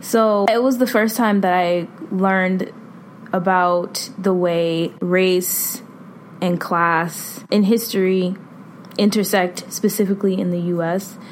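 A woman with an American accent talks very slowly at a medium pitch, her intonation fairly even, over noticeable background noise. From Boston. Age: 20s. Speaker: consultant and substitute teacher. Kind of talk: personal reflection monologue.

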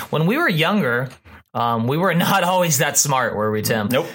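This man has a normal speaking voice, medium in pitch, with an American accent, lively intonation and a moderate pace. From Texas, Houston. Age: 30s. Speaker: pastor. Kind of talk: casual chat. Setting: studio.

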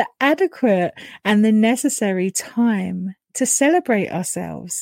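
A woman with a British accent speaks at a medium pitch, her tone dark, mellow, soothing and gentle, with ordinary pitch variation. The recording is very clean and dry, close with no echo, over a silent background. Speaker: podcast host and spiritual coach. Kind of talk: guided meditation. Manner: slow, soothing, gentle; calm, warm, dreamy.

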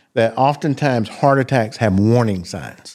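On a very clean recording with a silent background, a man with a Southern US accent talks at a moderate pace, medium pitch and ordinary pitch variation. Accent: Southern US (Georgia). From US South, South Georgia. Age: 50s. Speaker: cardiologist. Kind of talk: interview.

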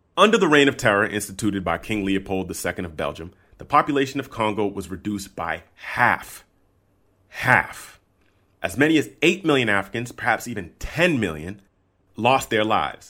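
A man's fairly low, bright, sharp voice at a moderate pace, with lively intonation and big swings in loudness, on a very clean recording with a silent background. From United States. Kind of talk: scripted narration.

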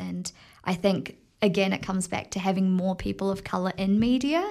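A woman with a New Zealand accent, medium pitch and a moderate pace. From New Zealand (Tauranga), born in Fiji. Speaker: TV field reporter. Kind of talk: interview.

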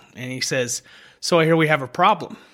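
A bright, sharp tone with an American accent, a fairly quick pace and ordinary pitch variation, on a very clean recording with a silent background. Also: man. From Memphis, Tennessee, US South. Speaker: bartender. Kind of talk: casual chat.

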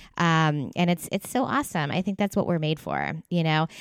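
A woman with an American accent speaks in a normal speaking voice at a moderate pace, her pitch varying in an ordinary way, the sound dry and close with no echo. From US East Coast. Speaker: podcast host, physical therapist. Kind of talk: casual interview.

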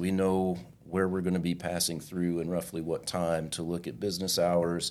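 A man with a very deep, low pitch talks at a fairly quick pace and with fairly even intonation. The recording is very clean, its background silent. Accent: American. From southwest Missouri. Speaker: trucking safety supervisor. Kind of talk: casual interview.

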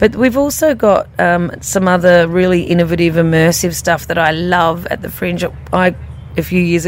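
Amid noticeable background noise, a woman speaks at a fairly low pitch and a moderate pace. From born in Blackpool, raised mostly in South Australia (Whyalla). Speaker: festival director and CEO. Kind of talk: interview.

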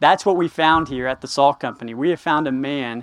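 With a Texan accent, a man speaks with ordinary pitch variation. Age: 20s. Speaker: campus ministry director. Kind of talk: sermon.

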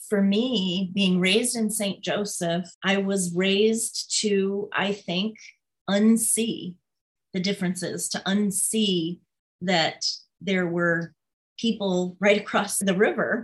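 A woman's somewhat breathy voice with an American accent, fairly even intonation and a very slow pace. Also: medium pitch for a woman. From southwest Michigan, US Midwest. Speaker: political candidate. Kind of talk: interview.

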